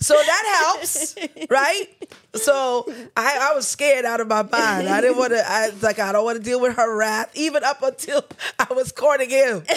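A woman with a New York accent and high pitch, lively intonation and a moderate pace, amid noticeable background noise. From New York, Nigerian parents. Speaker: church elder. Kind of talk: casual chat.

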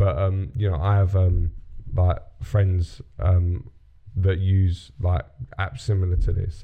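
A man with a British accent speaks at a very slow pace with long, frequent pauses and fairly even intonation. His voice is very deep and low in pitch, dark and mellow in tone, and somewhat breathy. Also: very even loudness. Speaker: podcast host. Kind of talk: casual chat.

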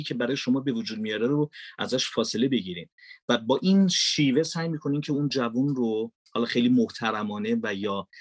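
A man speaks at a moderate pace in a plain, everyday voice, medium in pitch with ordinary pitch variation. The sound is dry and close with no echo, over a quiet background. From Iran, Mashhad. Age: 40s. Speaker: voice-over artist and filmmaker. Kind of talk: podcast interview. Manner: formal.

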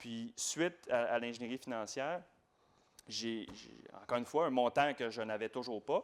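A man talks at a moderate pace in an unremarkable speaking voice. His loudness swings widely, while his pitch varies in an ordinary way. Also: medium pitch for a man. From Quebec, Laval. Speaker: real estate investor. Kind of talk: interview.

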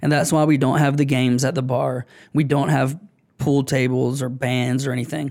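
A man with an American accent speaks at a medium pitch and a moderate pace in a monotone, flat intonation. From US South, Augusta, Georgia. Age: 30s. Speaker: bar owner. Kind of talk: casual interview. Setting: studio.

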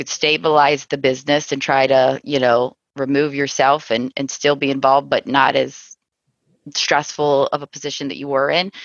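With a Midwestern American accent, a woman speaks in a very deep, low voice and a flat, monotone intonation. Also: moderate pace. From US Midwest, Cincinnati, Ohio. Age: 40s. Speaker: insurance agency owner. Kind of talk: interview conversation.

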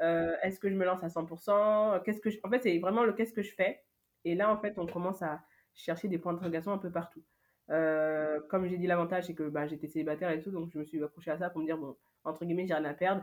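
Recorded very cleanly against a silent background, a woman talks at a very fast pace with fairly low pitch and fairly even intonation. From France, Paris. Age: 20s. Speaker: event agency founder. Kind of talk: interview testimony.

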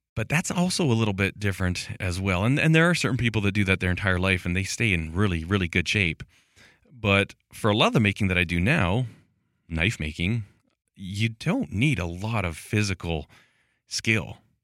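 Here is a man with an unremarkable speaking voice, pitched fairly low. He moves at a moderate pace with ordinary pitch variation. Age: 40s. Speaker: podcast host for makers. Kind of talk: solo monologue. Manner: casual, conversational.

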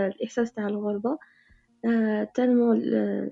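Over music in the background, a woman talks at a fairly high pitch and a fairly slow pace. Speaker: caller.

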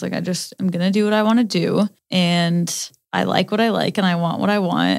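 On a very clean recording with a silent background, a woman speaks at a fairly quick pace. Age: 20s. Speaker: podcast co-host. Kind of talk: casual chat. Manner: animated.

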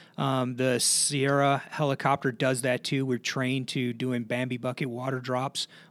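On a very clean recording with a silent background, a man with an American accent talks at a fairly slow pace in a medium pitch with monotone, flat intonation. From Chicago, south side (Blue Island). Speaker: navy helicopter pilot. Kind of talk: interview. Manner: halting, many fillers.

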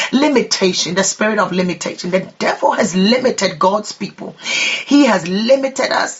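Noticeable background noise sits beneath speech delivered at a moderate pace. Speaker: prayer leader. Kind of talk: fervent prayer and declarations. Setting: online prayer broadcast. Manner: impassioned, rhythmic, repetitive declarations.

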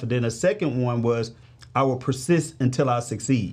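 With an American accent, a man speaks at medium pitch and a moderate pace in a somewhat breathy voice. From St. Louis, Missouri, US. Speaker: financial advisor. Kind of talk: casual interview chat.

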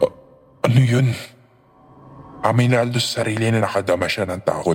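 Over music in the background, a man speaks at a fairly low pitch and a moderate pace. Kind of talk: ghost story narration. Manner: tense, dramatic, building suspense.

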